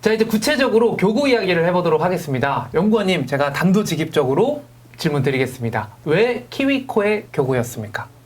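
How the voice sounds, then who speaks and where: Over noticeable background noise, a man talks at a fairly quick pace in a high voice with very wide pitch swings and very even loudness. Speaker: live stream host. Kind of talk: corporate live broadcast interview. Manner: lively, conversational.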